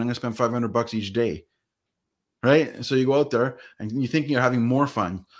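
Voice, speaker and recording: Ordinary pitch variation marks this very fast speech, in a very clean recording with a silent background. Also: man. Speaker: podcast host and entrepreneur. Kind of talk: podcast interview. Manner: casual, conversational.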